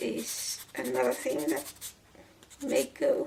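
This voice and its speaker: Over noticeable background noise, a woman talks at a very slow pace. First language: not English. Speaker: doll shoe crafter and translator. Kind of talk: tutorial with personal talk. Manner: halting, repeats words.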